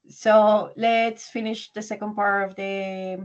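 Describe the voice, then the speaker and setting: A woman speaks with a Spanish accent over a quiet background. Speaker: English teacher. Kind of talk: online language class.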